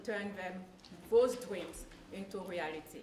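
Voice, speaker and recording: A woman with a strong French accent talks at a fairly slow pace and with ordinary pitch variation, amid noticeable background noise and audible room echo. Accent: heavy French. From Ivory Coast. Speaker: public speaking student. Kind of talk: class presentation.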